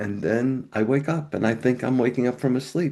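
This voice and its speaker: Male speech at a medium pitch, ordinary pitch variation, an unremarkable speaking voice. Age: 60s. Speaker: pastor. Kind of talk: testimony.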